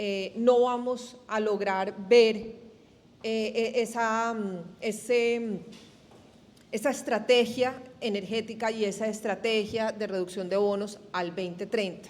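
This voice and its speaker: A woman with a Colombian accent speaks very slowly at a fairly high pitch. Her intonation stays fairly even. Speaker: energy industry representative. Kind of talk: panel discussion.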